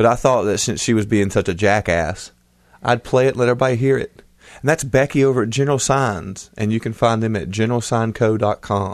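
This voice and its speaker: Here a man has a normal speaking voice at a medium pitch. He talks at a fairly quick pace. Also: ordinary pitch variation. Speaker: podcast co-host, father. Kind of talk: casual chat.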